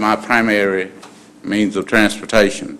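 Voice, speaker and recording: A fairly slow delivery in a Southern US accent. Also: man. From US South. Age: 60s. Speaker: citizen speaking at public comment. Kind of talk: public comment. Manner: halting. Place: hall. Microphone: podium.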